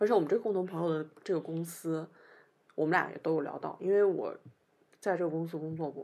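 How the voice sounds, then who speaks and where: A woman with a northern Chinese accent talks at a fairly quick pace yet leaves long, frequent pauses. Her voice is fairly low in pitch with a dark, mellow tone. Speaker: podcast co-host. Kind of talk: casual chat. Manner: animated storytelling.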